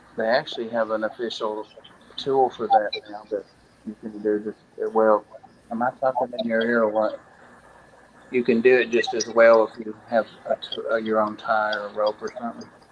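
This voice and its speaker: A man's medium-pitched voice, flat and monotone, at a moderate pace with long, frequent pauses and noticeable background noise. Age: 60s. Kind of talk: casual chat.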